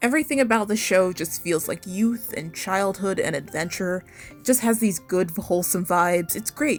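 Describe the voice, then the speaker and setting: Over background music, the speaker keeps a moderate pace with hardly any pauses, using lively intonation and big swings in loudness. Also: woman, medium pitch for a woman. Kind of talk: cartoon commentary video essay.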